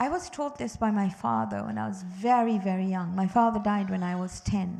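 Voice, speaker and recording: Her tone is dark and mellow, her voice somewhat breathy. This woman speaks at medium pitch. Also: lively intonation. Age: 60s. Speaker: religious teacher for children and parents. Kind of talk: religious teaching talk to families. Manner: animated.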